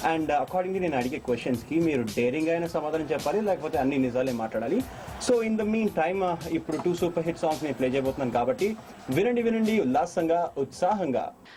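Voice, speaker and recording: Music plays behind a man speaking at a fairly high pitch. His intonation is lively and his loudness very even. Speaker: radio jockey. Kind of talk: radio show host talking to listeners. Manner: upbeat, chatty.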